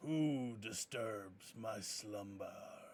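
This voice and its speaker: A man puts on a booming character voice. His pitch sits at a medium level. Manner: angry, commanding.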